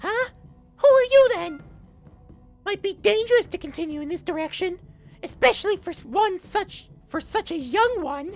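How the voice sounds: A squeaky put-on character voice at an extremely high pitch, moderate in pace with long, frequent pauses, faint music in the background.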